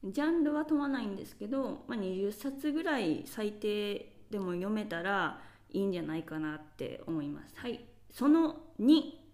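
A woman's fairly high voice swings very widely in pitch and heavily in loudness at a moderate pace, with audible room echo. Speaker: podcast host. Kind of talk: solo monologue podcast. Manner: casual, many fillers.

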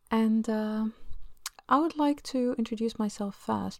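On a very clean recording with a silent background, a woman talks at a moderate pace with ordinary pitch variation. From Egypt. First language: Arabic. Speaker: home-educating mother and podcaster. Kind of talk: solo podcast monologue.

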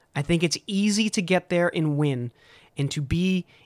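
A man with a plain, everyday voice speaks at a fairly slow pace and a fairly high pitch with lively intonation, in a very clean recording with a silent background and a dry, close sound with no echo. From US Northeast (south of Boston, Massachusetts). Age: 30s. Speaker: podcast host. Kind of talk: monologue podcast.

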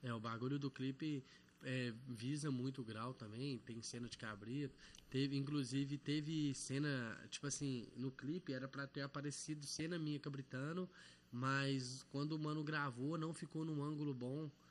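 A man talks at a moderate pace in a fairly high pitch with fairly even intonation. He has an ordinary speaking voice. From Belo Horizonte, Morro das Pedras, Brazil. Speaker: rapper. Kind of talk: casual chat.

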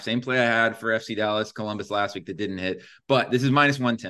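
A man talks at a fairly quick pace. His pitch varies in an ordinary way over a quiet background. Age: 30s. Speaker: sports betting podcast host. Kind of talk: casual chat. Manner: animated.

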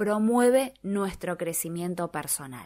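An ordinary speaking voice moves at a fairly slow pace with lively intonation, captured in a very clean recording with a silent background. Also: woman. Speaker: radio host. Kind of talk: radio talk show.

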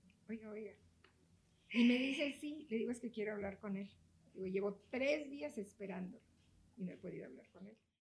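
Fairly high and somewhat breathy, a woman speaks at a moderate pace with lively intonation, big swings in loudness, and long, frequent pauses. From Mexico, Oaxaca. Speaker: real estate broker and association president. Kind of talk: interview.

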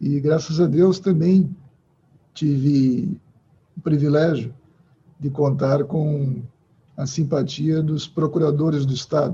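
A man talks very slowly in a fairly high pitch, his tone dark, mellow and somewhat breathy. His intonation stays fairly even, with long, frequent pauses. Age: 50s. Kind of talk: interview.

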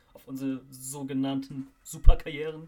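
A man with a fairly high pitch. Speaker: football podcast host. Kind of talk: casual chat.

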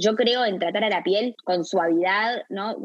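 A woman is speaking. She has a Rioplatense accent. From Uruguay, Montevideo. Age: 30s. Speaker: skincare brand founder. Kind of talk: interview. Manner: halting.

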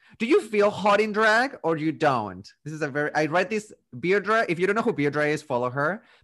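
The tone is animated, with lively intonation. Delivery moves at a fairly quick pace with hardly any pauses. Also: man, high pitch for a man. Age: 20s. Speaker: drag queen podcast host. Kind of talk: casual chat.

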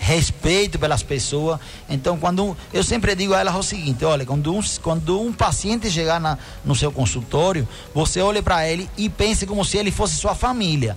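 Against noticeable background noise, a man with a Spanish accent and fairly high pitch speaks at a fairly quick pace with lively intonation and very even loudness. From Cuba. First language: Spanish (speaking Portuguese). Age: 50s. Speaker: doctor and dermatologist. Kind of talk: radio health advice segment. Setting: radio studio.

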